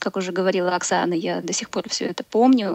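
Here is a woman with an ordinary speaking voice at medium pitch. Her pace is fairly quick and her pitch variation ordinary. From Belarus. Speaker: caller, former exchange student. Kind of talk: call-in on live radio.

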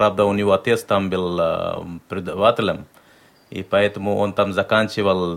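At a moderate pace, a man speaks in a normal speaking voice, fairly low in pitch and fairly even in intonation. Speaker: interpreter. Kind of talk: live interpreting on radio.

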